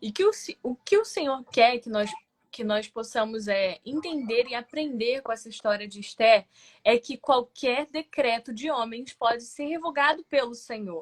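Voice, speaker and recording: A woman's high voice at a fairly slow pace, with ordinary pitch variation and big swings in loudness, dry and close with no echo. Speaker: lay preacher. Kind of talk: sermon.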